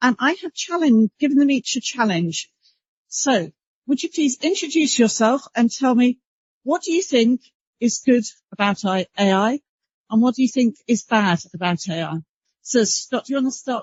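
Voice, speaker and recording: In a British accent, a woman speaks at a moderate pace. Her high pitch makes very wide swings. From UK. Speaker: panel moderator, broadcast standards executive. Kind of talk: conference panel moderation.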